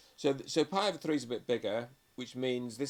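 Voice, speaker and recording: A man's medium-pitched voice with a British accent, fairly quick pace and ordinary pitch variation. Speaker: maths teacher. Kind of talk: tutorial. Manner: fast.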